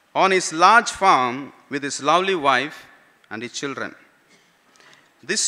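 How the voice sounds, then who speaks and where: A man's high-pitched voice with ordinary pitch variation over a quiet background. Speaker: pastor. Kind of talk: sermon. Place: church. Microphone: podium.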